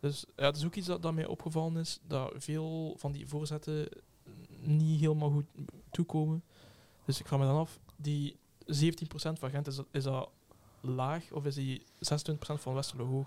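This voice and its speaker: Long, frequent pauses break up this man's speech. His voice is fairly high and his intonation monotone and flat. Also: moderate pace. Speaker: podcast co-host. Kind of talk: casual chat.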